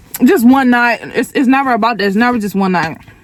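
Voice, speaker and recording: Noticeable background noise sits under a woman who talks fairly quickly. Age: 20s. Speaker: lifestyle vlogger. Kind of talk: casual vlog talk to camera.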